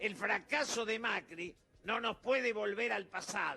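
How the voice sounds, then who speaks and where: A man speaks in a raised, projected voice, pitched high. His pace is fairly slow, with ordinary pitch variation. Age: 70s. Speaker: political commentator. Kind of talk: interview.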